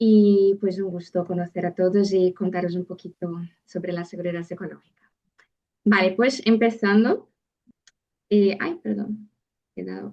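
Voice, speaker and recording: Woman's medium-pitched voice in a Brazilian accent, dark and mellow, fairly slow with long, frequent pauses and big swings in loudness. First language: Portuguese (speaking Spanish). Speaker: psychologist and seminar speaker. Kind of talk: lecture. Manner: halting.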